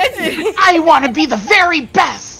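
An extremely high, put-on character voice speaks at a fairly slow pace. Faint music plays in the background. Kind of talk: heroic, dramatic. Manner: earnest, determined.

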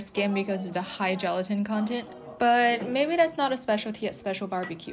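The talking runs at a fairly quick pace, backed by music in the background. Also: woman. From China. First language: Chinese. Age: 20s. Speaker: food vlogger. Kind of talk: food tour vlog narration.

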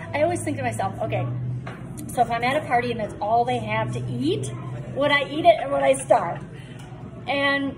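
Clear music plays in the background. Over it, a woman speaks at a moderate pace. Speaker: food vlogger. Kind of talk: casual vlog chat. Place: bar. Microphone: phone near.

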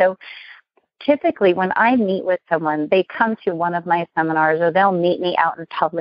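Using a plain, everyday voice, a woman speaks at a fairly quick pace with a fairly low pitch and ordinary pitch variation. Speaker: business consultant and speaker. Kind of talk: interview.

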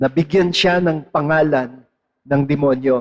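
A man with an ordinary speaking voice, fairly high in pitch with ordinary pitch variation, at a fairly slow pace. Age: 60s. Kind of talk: sermon.

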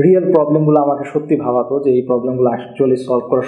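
A man speaks with audible room echo. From northern Bangladesh. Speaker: tech entrepreneur. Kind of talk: interview. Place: office.

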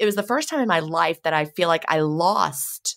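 A woman speaks with a very deep, low pitch at a moderate pace. The recording is very clean, with a silent background. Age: 50s. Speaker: author and podcast host. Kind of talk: interview conversation.

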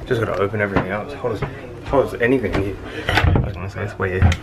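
The speech comes at a very fast pace. Noticeable noise runs in the background. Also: man. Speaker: vlogger. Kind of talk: casual vlog chat. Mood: relieved, upbeat. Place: boat. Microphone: phone near.

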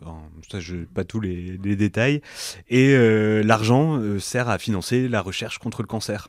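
A man talks at a fairly slow pace in a fairly low pitch with ordinary pitch variation. It is an ordinary speaking voice, and the recording is very clean with a silent background. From northern France, Lille. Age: 30s. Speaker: entrepreneur and workshop leader. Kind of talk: casual interview.

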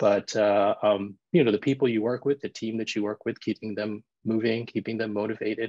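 Using a normal speaking voice, a man of medium pitch talks at a fairly quick pace with fairly even intonation and hardly any pauses. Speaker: emergency physician. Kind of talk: panel discussion. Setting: video call.

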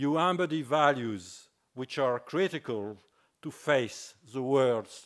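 Against a quiet background, a man with a French accent speaks at a very slow pace. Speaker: business school dean. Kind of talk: formal introduction speech. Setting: stage with audience. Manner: formal. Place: hall. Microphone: podium.

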